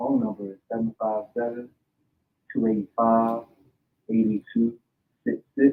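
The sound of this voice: A man talks at a moderate pace, his voice carrying vocal fry and a slightly husky edge.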